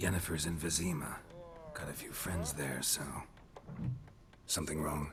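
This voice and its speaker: Putting on a character voice, a man speaks very deep and low at a moderate pace, leaving long, frequent pauses over clear background noise. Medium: video game. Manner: terse, dry.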